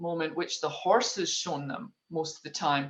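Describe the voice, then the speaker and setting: Here is a woman with a Scottish accent. Her pitch is very deep and low. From Scotland. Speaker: leadership trainer working with horses. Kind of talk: interview.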